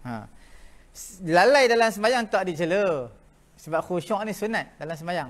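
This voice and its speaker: This man speaks fairly slowly with long, frequent pauses. His pitch is high and his intonation lively. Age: 60s. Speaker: religious teacher. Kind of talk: lecture. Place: classroom.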